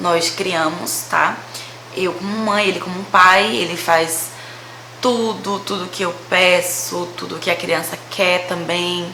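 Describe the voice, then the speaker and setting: A woman with a fairly low pitch and fairly even intonation talks at a very slow pace, with audible room echo and noticeable background noise. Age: 20s. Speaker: vlogger. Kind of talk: casual storytelling vlog.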